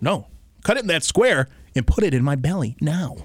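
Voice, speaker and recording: Here is a man with an American accent. His intonation is lively. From Detroit area, Michigan. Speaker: podcast co-host. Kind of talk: casual debate. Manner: animated.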